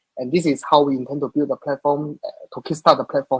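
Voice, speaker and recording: Man with a slight Singaporean accent, fairly high pitch, ordinary pitch variation and a fairly quick pace, in a dry, close sound with no echo. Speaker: crypto project tech leader. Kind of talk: live Q&A session. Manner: halting, many fillers.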